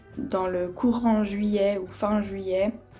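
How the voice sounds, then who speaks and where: A woman's fairly high-pitched voice with noticeable background noise. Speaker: vlogger. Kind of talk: casual vlog talk to camera. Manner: hesitant, many fillers.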